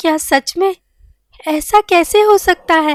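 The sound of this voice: A woman puts on a cartoonish character voice at an extremely high pitch. She speaks at a fairly slow pace. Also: dry, close sound with no echo.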